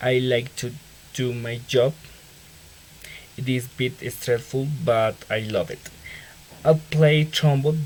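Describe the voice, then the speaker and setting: Over noticeable background noise, a man with a Colombian accent talks at a very slow pace with long, frequent pauses, a medium pitch, fairly even intonation and big swings in loudness. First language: Spanish. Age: 20s. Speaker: engineering student. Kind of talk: self-introduction for class assignment. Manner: halting.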